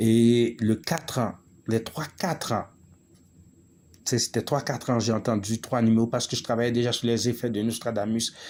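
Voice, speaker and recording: A man speaks at medium pitch and a moderate pace. His intonation is fairly even, with long, frequent pauses. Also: very clean recording, silent background. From Quebec, Montreal (Haitian-born). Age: 40s. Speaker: spiritual vlogger. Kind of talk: monologue video. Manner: halting, many hesitations.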